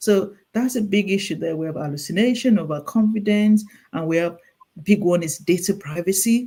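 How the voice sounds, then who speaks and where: The speaker talks at a moderate pace with a Nigerian accent. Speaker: clinical nurse specialist. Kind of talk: interview. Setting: call. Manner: halting, with repeated words.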